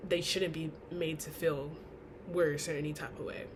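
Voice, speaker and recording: Audible room echo surrounds this woman's speech. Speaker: college student. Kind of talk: class speech.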